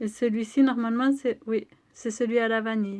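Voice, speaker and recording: Talking at a fairly slow pace, a woman keeps her intonation fairly even. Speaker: beauty vlogger. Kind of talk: product review vlog.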